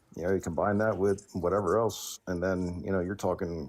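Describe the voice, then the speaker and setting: With an American accent, a man talks in a very deep, low pitch with ordinary pitch variation. He keeps a fairly quick pace on a very clean recording with a silent background. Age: 30s. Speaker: caller on a vegan livestream. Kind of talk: casual chat. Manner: filler-heavy, rambling delivery.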